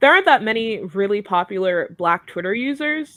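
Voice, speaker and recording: Speaking fairly slowly, a woman with a medium pitch uses lively intonation. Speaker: K-pop fandom commentator on Twitter. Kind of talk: casual podcast discussion. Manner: animated.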